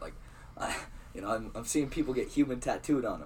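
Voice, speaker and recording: Audible room echo surrounds a man talking at a very fast pace with an American accent. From Iowa, US Midwest. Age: 20s. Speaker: clothing brand founder. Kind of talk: casual interview. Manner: halting.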